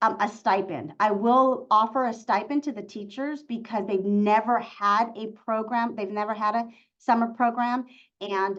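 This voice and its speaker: Here is an ordinary speaking voice from a woman, fairly high in pitch. Her pace is moderate and her intonation fairly even. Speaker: school district superintendent. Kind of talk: webinar presentation.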